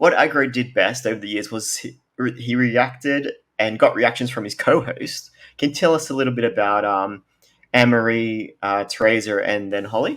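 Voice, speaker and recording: Very clean audio with a silent background, carrying a man's ordinary speaking voice: medium pitch, moderate pace, ordinary pitch variation. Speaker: interviewer. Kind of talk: interview questions.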